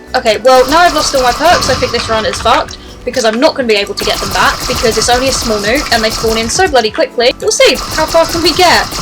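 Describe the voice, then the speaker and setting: A woman with a British accent and a high voice talks very fast with lively intonation and hardly any pauses, over noticeable background noise. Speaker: gaming streamer. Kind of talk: gameplay commentary. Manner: animated.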